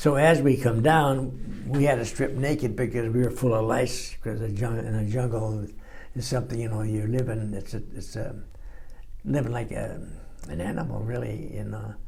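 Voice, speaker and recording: With an American accent, a man of medium pitch talks at a moderate pace in a somewhat breathy voice. His pitch varies in an ordinary way, and room echo is audible. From Los Angeles, California. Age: 90s. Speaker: war veteran. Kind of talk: oral history interview. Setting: library recording room. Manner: halting, many fillers and repeats.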